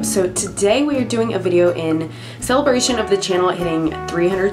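Clear music in the background behind a woman's moderately paced speech. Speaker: beauty YouTuber. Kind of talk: casual talk to camera. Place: home room.

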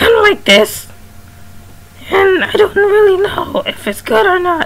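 Over light background noise comes a put-on character voice at an extremely high pitch. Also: moderate pace. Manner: trying to do a cartoon voice, unsure.

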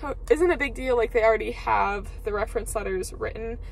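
A woman talks in a high pitch, and the sound is dry with no echo. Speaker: university student vlogger. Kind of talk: casual vlog chat. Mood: upbeat, a bit stressed. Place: car. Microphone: phone near.

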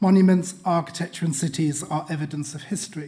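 This man's voice has a dark, mellow tone and ordinary pitch variation. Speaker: guest lecturer. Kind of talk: lecture. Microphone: podium.

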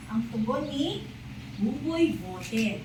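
A woman talks very slowly, her pitch swinging very widely, as noticeable background noise runs underneath. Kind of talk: bedtime storytelling, scripted narration with character voices. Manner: animated, expressive, changes voice for each character; gentle, slow and clear, child-friendly.

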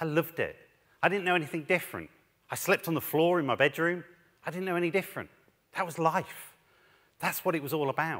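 A man's fairly high voice comes through with a quiet background behind it. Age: 40s. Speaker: head teacher and education speaker. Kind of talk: conference talk. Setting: stage with audience. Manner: animated. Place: stage. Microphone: headset.

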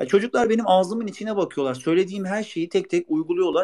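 A man speaks in a high voice with lively intonation. The background is quiet. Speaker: former footballer and youth coach. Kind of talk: interview. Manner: hesitant with many fillers.

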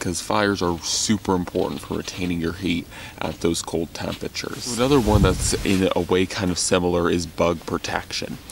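A man's very deep, low voice with ordinary pitch variation, a fairly quick pace and hardly any pauses, dry with no echo, against noticeable background noise. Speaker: bushcraft vlogger. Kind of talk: casual vlog chat. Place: tent. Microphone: phone near.

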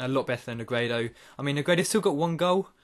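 Ordinary pitch variation from a male speaker at a moderate pace. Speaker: gaming YouTuber. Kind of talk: excited play-by-play commentary over his own FIFA match. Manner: animated, bursts of excited cheering at goals; casual, rambling with frequent uh and um fillers. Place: home room.

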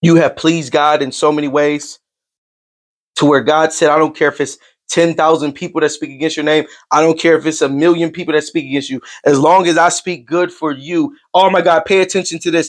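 A man's fairly quick speech with fairly even intonation against a quiet background. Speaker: online life coach and spiritual preacher. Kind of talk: livestreamed prophetic sermon-style pep talk to a chat audience. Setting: live stream reading viewer chat. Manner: fervent call-and-response preaching, punctuated with come on now and amen; repetitive and emphatic, restating lines for impact. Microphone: earbuds.

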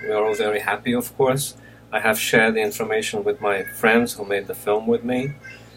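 Over light background noise, a man talks at medium pitch in a monotone, flat intonation. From Brazil (Recife). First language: Portuguese. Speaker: film director. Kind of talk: recorded acceptance speech. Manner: halting, with many fillers. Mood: warm, grateful, relaxed. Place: home room. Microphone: webcam.

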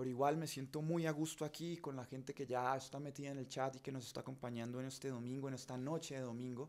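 A man talks at a very fast pace. His fairly high voice keeps a fairly even intonation. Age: 40s. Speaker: journalist and show host; journalist, show host. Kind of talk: live stream monologue. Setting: home studio. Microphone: studio mic.

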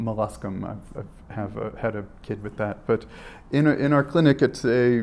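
A man speaks at a fairly low pitch with a slightly mellow tone. Vocal fry runs through his voice.

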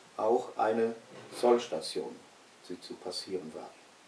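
Speaking at a fairly slow pace, a man is heard with audible room echo. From West Prussia. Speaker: eyewitness recalling his childhood homeland; witness. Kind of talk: historical recollection in an interview. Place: home room. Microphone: camera far.

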